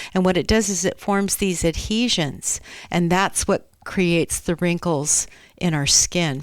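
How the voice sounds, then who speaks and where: A woman speaks at a fairly slow pace in an ordinary speaking voice. Her pitch is medium, with ordinary variation. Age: 60s. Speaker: skin care practitioner. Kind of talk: casual chat.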